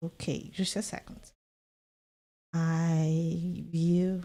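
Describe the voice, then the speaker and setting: A woman with a non-native accent speaks at a very slow pace, her fairly low voice dark and mellow in tone. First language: not English. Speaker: vtuber gaming streamer. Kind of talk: casual gameplay stream; reading aloud.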